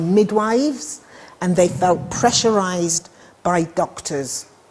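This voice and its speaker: A woman in a British accent talks at a very slow pace and a medium pitch, with lively intonation. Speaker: midwifery lecturer. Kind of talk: lecture.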